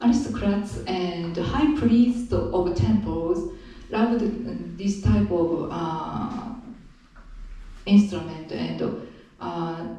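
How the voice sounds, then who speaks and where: In a room with audible echo and noticeable background noise, a woman with a Japanese accent speaks at a very slow pace, her fairly low voice making very wide pitch swings between long, frequent pauses. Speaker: traditional musician. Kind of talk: spoken introduction at concert. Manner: halting, many fillers.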